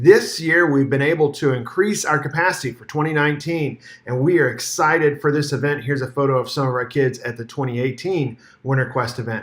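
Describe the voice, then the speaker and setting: A somewhat breathy, fairly high-pitched male voice at a fairly quick pace. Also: ordinary pitch variation. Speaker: church minister. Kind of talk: video year-in-review narration. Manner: fast.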